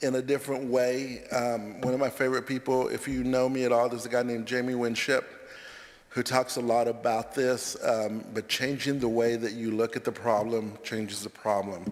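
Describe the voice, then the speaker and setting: Speaking at a moderate pace, a man keeps a medium pitch in a flat monotone. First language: not English. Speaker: college counselor. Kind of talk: chapel talk. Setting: church sanctuary. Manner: halting.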